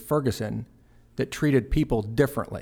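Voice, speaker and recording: A man talks at a fairly quick pace with an American accent, in a normal speaking voice at medium pitch. His pitch varies in an ordinary way, and the recording is very clean with a silent background. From Texas (Fort Worth). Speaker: police chief. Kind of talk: interview.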